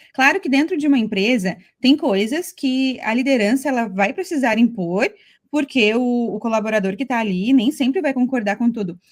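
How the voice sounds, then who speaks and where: A woman speaks with a high pitch and a southern Brazilian accent. Her intonation is lively. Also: moderate pace. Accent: gaúcho. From Brazil, Rio Grande do Sul. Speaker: podcast co-host. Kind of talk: podcast conversation.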